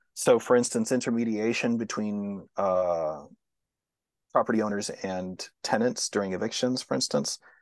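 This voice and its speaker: Against a quiet background, a man with a fairly low pitch talks with a Texan accent. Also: ordinary pitch variation, moderate pace. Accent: Texan American English. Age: 40s. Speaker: sociologist. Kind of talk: interview.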